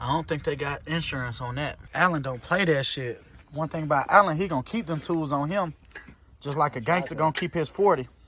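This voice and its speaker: The talking goes along fairly quickly. There is noticeable noise in the background. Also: man, fairly high pitch for a man, ordinary pitch variation. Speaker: car vlogger. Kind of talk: casual vlog chat. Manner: animated.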